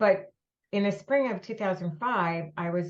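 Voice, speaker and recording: A woman speaks in a somewhat breathy voice. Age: 70s. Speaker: breast cancer nonprofit founder. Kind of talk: podcast interview.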